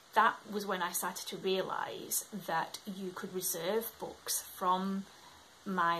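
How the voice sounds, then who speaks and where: A woman with a Yorkshire accent, bright, sharp tone and medium pitch. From Scotland, moved to England at about eight. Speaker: book vlogger. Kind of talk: casual talk to camera.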